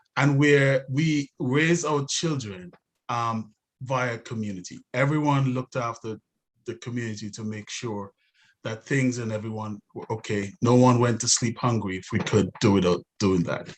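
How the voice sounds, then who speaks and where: This man has a non-native accent. The rise and fall of his pitch is ordinary. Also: medium pitch for a man, moderate pace. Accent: noticeable foreign. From outside the US. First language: not English. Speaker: city council candidate. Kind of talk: candidate forum speech. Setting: live-streamed webinar. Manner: hesitant, many fillers.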